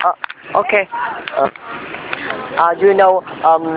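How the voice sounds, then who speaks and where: Someone talks at a moderate pace with a Vietnamese accent. Noticeable background noise runs underneath. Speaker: English learner interviewing tourists. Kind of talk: casual interview. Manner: halting.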